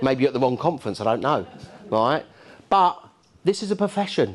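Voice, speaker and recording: With a Cockney accent, a man talks in an animated tone with lively intonation against a quiet background. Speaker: keynote speaker, landlord and housing expert. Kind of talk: conference keynote talk. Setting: stage with audience. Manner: animated, conversational.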